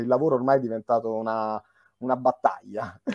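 With a dark, mellow tone, a man speaks at a moderate pace in a dry sound with no echo and a quiet background. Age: young. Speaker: interviewer and film director; interviewer. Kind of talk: interview. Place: home room. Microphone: video call.

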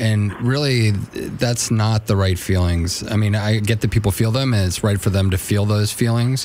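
Over light background noise, a man speaks at a moderate pace with fairly even intonation. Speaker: radio show co-host. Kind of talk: advice talk on radio show. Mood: calm, earnest. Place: studio. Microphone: studio mic.

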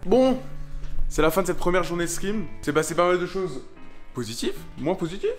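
A man talks at a fairly quick pace while faint music is heard behind him. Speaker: vlogger. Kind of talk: casual vlog chat.

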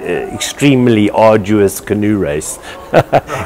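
Over light background noise, a man talks in a plain, everyday voice with ordinary pitch variation. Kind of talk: interview answer. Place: hall. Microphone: lapel.

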